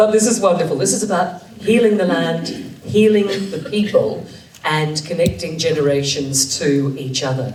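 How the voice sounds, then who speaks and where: Background noise is noticeable here. The speaking pace is moderate. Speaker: conference host. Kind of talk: speaker introduction.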